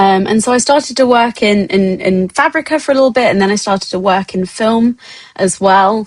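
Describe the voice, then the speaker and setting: A woman with a British accent talks at a fairly quick pace. Her pitch is fairly high, with ordinary variation. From England. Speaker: XR artist and producer. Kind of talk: guest lecture. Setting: online talk. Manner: halting, many fillers.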